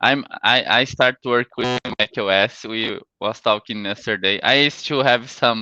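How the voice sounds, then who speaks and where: Speech comes at a very slow pace in a Brazilian accent. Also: man. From Brazil, Santa Catarina. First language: Portuguese. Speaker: sales engineer. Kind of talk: conference talk. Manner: halting.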